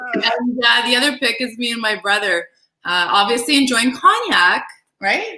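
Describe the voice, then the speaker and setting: With a Canadian accent and a normal speaking voice, a woman speaks at a moderate pace in a fairly high pitch, her intonation lively. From Toronto area, Canada (Greek-Canadian family). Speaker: cosmetics industry business partner. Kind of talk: casual interview chat.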